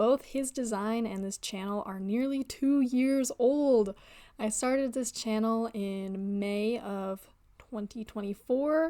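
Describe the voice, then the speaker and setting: At a fairly slow pace, a woman speaks in a dark, mellow tone at a fairly high pitch with ordinary pitch variation, in a very clean recording with a silent background. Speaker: digital artist. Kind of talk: casual talk to camera.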